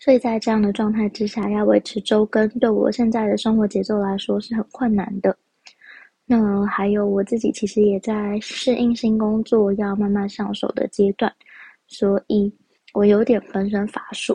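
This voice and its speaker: A woman with fairly high pitch and monotone, flat intonation at a moderate pace, in a dry, close sound with no echo. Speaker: podcast host. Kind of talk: casual solo podcast talk.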